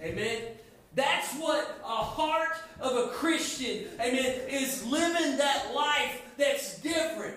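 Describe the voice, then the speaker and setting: With noticeable background noise and audible room echo, a man speaks very slowly at an extremely high pitch, using ordinary pitch variation. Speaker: youth pastor. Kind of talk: sermon. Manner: halting.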